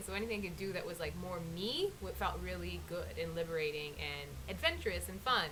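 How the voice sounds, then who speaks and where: This woman's voice carries audible room echo, with noticeable background noise around it. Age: 30s. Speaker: interviewee sharing natural hair journey. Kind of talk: interview. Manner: halting.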